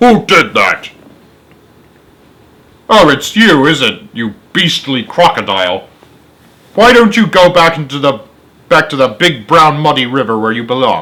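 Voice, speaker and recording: Putting on a character voice, a man speaks at a fairly high pitch. He leaves long, frequent pauses. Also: moderate pace. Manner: indignant, scolding.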